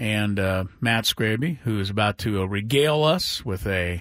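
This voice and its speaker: A normal speaking voice, fairly slow with lively intonation, on a very clean recording with a silent background. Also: man. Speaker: radio host. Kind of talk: sports talk radio banter. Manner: casual, conversational, teasing.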